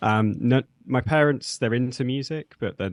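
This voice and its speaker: A man with a British accent at a moderate pace, the sound dry and close with no echo, over a quiet background. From English Midlands (Nottingham). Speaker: zine editor and metal musician. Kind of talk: interview. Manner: halting, many fillers.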